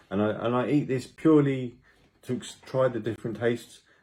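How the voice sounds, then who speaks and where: Fairly quick speech in a British accent with ordinary pitch variation. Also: man. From Britain. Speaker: food and travel vlogger. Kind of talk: casual vlog talk to camera.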